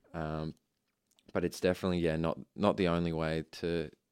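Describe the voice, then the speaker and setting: In a very clean recording with a silent background and a dry, close sound with no echo, a man with an Australian accent speaks at a moderate pace with very deep, low pitch and monotone, flat intonation. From Australia, Ipswich, Queensland. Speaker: architecture student. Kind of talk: interview.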